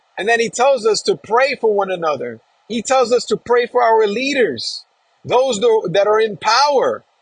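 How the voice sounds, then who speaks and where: An extremely high-pitched male voice at very even loudness, with a dry, close sound and no echo. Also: ordinary pitch variation, moderate pace. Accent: American. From New York City (Queens). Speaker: religious podcaster. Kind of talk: spiritual monologue. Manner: animated.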